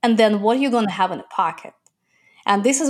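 Lively intonation in a Russian accent, on a very clean recording with a silent background. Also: woman. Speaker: entrepreneur. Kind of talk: interview.

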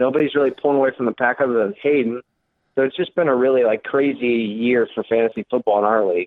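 Very fast and very even in loudness, a man delivers his words. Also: medium pitch for a man, ordinary pitch variation. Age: 20s. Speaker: college student. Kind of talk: casual chat. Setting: phone call.

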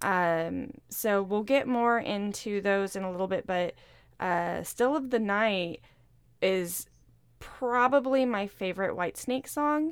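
A woman at a very slow pace with lively intonation, on a very clean recording with a silent background. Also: medium pitch for a woman. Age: 30s. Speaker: podcast co-host. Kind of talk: casual chat. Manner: animated.

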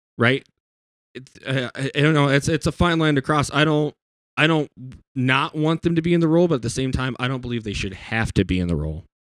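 In an ordinary speaking voice with an American accent, a man speaks at a fairly high pitch and a fairly quick pace, with ordinary pitch variation and a dry, close sound with no echo. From US South. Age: 20s. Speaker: guitarist. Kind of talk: casual chat.

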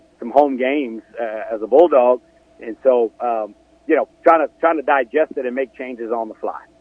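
Medium pitch from a man at a moderate pace, with fairly even intonation and noticeable background noise. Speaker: university athletics official guest. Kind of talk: radio interview answers.

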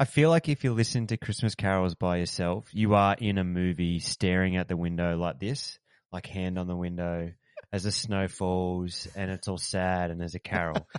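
A man with an Australian accent speaks at a moderate pace and a very deep, low pitch, with fairly even intonation, a dry, close sound with no echo and a quiet background. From country town in Australia. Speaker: podcast co-host. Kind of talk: casual chat.

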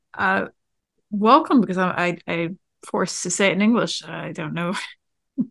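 At a moderate pace, a woman speaks at medium pitch with ordinary pitch variation. Her voice carries vocal fry, and she takes long, frequent pauses. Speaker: podcast host. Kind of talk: casual chat.

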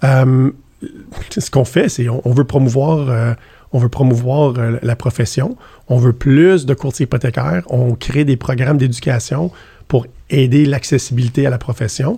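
A man's somewhat breathy voice with a dark, mellow tone and ordinary pitch variation. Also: medium pitch for a man, moderate pace. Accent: Quebec. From Ottawa. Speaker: banking executive. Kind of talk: interview.

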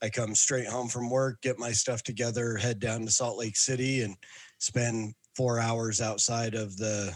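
A man talks at a moderate pace with a medium pitch and fairly even intonation. He has an ordinary speaking voice. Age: 40s. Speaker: podcast co-host, father. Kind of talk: casual chat.

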